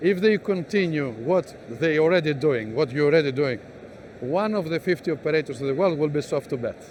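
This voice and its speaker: A man with a Greek accent and a fairly high voice speaks at a fairly quick pace with ordinary pitch variation. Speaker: business executive. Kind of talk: interview. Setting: exhibition stand.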